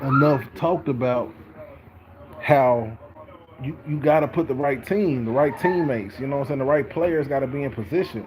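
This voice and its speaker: There is noticeable background noise as a man with fairly high pitch speaks at a moderate pace with ordinary pitch variation. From Texas. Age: 30s. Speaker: sports vlogger. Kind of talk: casual sports commentary monologue. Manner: casual, filler-heavy with repetitions.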